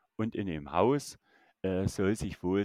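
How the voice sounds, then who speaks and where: Recorded very cleanly against a silent background, with a dry, close sound and no echo, a man speaks in a very deep, low pitch with ordinary pitch variation. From Saxony, Germany. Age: 30s. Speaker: YouTuber exploring abandoned places and the paranormal. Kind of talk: casual chat.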